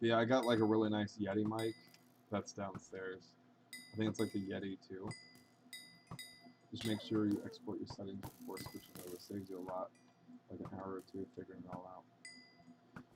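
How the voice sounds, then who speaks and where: Over music in the background, a man with a fairly low pitch speaks at a moderate pace in a monotone, flat intonation, with big swings in loudness and long, frequent pauses. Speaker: video game streamer. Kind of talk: casual live stream chat.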